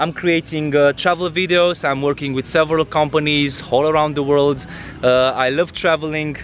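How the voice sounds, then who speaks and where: With a Romanian accent, a man speaks at a fairly high pitch with fairly even intonation over noticeable background noise. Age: 30s. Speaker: travel vlogger. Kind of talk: vlog monologue. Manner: halting, many fillers.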